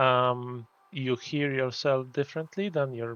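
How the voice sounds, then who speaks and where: With a Polish accent, a man speaks at medium pitch and a fairly slow pace. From Poland. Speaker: gaming streamer. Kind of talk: casual live stream chat. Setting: live stream. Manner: halting.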